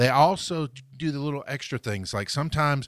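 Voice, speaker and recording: A man talks at a fairly quick pace in an ordinary speaking voice. The sound is dry and close, with no echo. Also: very clean recording, silent background. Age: 40s. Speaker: business podcast co-host. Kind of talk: casual chat.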